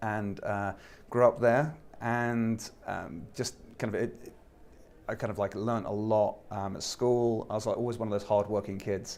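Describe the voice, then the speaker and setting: Here a man speaks in an English accent at a fairly low pitch. His pace is fairly slow and his intonation fairly even. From southern England (Eastbourne). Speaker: YouTube advertising expert. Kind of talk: interview. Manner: casual, many fillers.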